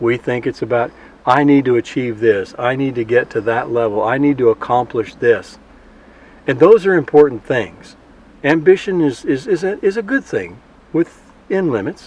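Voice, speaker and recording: Speaking with an American accent, a man uses a normal speaking voice at a medium pitch, lively intonation and a moderate pace. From South Texas. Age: 60s. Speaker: farmer. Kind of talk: interview.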